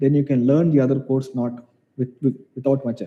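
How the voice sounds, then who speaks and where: Man with a Keralan accent, dark, mellow tone and fairly even intonation. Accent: Indian English, Malayali. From India, Kerala. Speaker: mathematics professor. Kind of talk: online Q&A session. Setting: video call. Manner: halting.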